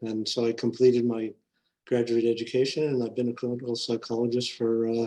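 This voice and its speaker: This man speaks with an American accent at a medium pitch. His tone is dark and mellow, and his intonation stays monotone and flat. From Southern California. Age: 60s. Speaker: clinical psychologist and podcast host. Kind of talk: interview storytelling. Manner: halting, many fillers.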